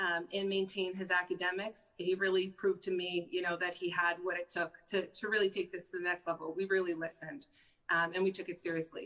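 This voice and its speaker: A woman with a Massachusetts accent talks at a fairly quick pace in a bright, sharp tone at medium pitch. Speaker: mother of a pro football player. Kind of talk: interview conversation. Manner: halting.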